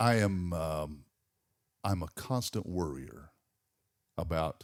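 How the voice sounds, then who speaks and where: In a Southern US accent, a man speaks with a very deep, low pitch and ordinary pitch variation. The recording is very clean, with a silent background. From Georgia, US South. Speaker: morning radio host. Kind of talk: casual chat. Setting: studio. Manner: halting.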